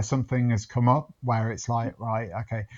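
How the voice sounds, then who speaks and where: This man has a British accent. He talks at a very fast pace. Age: 30s. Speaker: business founder. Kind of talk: podcast interview. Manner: halting, many fillers and repeats.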